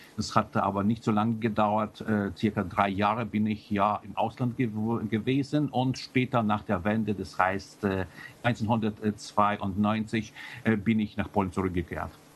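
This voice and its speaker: Speaking with a Polish accent, a man keeps a fairly low pitch, fairly even intonation and a fairly slow pace. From Poland. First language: Polish (speaking German). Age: 40s. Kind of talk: interview. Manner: halting, many filler sounds.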